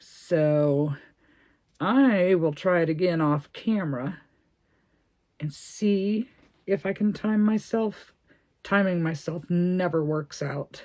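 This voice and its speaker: A woman's dark, mellow voice at a fairly low pitch, with ordinary pitch variation, a very slow pace and long, frequent pauses. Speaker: crochet video creator. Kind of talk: crochet tutorial, casual chat. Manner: chatty, thinking aloud.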